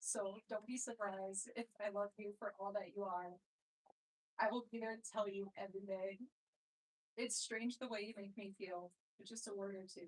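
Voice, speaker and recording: At a moderate pace, a woman with a medium pitch talks with fairly even intonation and long, frequent pauses. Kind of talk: wedding vows.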